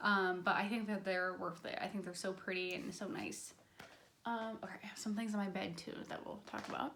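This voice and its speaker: Noticeable background noise runs under a woman talking at a fairly quick pace. Her pitch is medium and her intonation fairly even. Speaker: beauty and lifestyle vlogger. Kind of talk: casual product review vlog. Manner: fast; chatty, many fillers.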